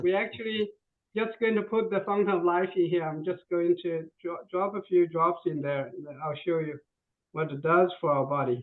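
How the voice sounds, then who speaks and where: A man with a high pitch, a moderate pace and ordinary pitch variation. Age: 60s. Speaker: product presenter. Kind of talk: product demonstration. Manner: halting.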